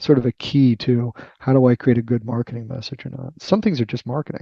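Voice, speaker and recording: The speaker talks at a very fast pace, somewhat breathy. Pitch moves with ordinary variation. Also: man. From Boston, US. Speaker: tech research executive and author. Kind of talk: podcast interview. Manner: hesitant, many fillers.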